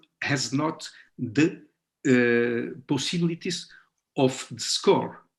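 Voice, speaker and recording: This man speaks with a non-native accent and ordinary pitch variation. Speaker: guitarist and conference presenter. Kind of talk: conference Q&A. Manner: halting, many fillers.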